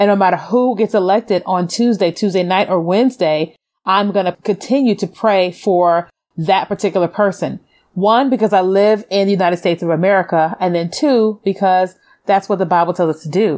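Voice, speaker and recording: An unremarkable speaking voice from a woman, medium in pitch with ordinary variation, fairly quick, very even in loudness, on a very clean recording with a silent background. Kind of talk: faith-based motivational talk.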